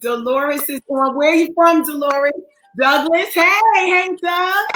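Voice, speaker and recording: An animated woman speaks in a raised, projected voice at a fairly slow pace. Her pitch is extremely high, with ordinary variation. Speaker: online counseling show host. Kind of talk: live stream welcome to viewers.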